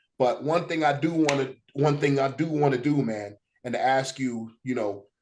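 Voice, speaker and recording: Moving at a moderate speed, a plain, everyday voice belongs to a man whose pitch is fairly high and varies in an ordinary way. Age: 30s. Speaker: podcast host and wrestling theme producer. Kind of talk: interview. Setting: home office.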